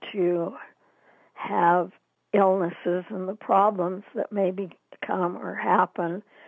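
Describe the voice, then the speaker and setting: A woman at a very slow pace with fairly even intonation, dry sound with no echo, and a quiet background. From Utah, US. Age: 80s. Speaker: interviewee, downwinder oral history participant. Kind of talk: oral history interview, recounting memories. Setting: phone call. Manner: hesitant, with fillers. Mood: reflective, somber. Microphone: phone line.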